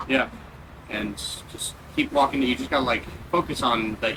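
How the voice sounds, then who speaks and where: A man speaks in a medium pitch while noticeable noise fills the background. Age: 20s. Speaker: interviewee. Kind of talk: casual interview. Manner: halting, many fillers.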